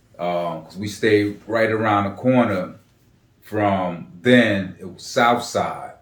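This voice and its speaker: A man speaks very slowly with fairly low pitch and fairly even intonation. His loudness swings widely amid audible room echo. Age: 50s. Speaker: interviewee in family documentary. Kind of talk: casual interview.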